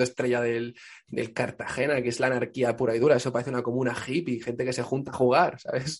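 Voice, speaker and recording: Speaking very fast, a man keeps to a medium pitch. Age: 20s. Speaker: journalist and comedian. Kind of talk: casual chat. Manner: animated.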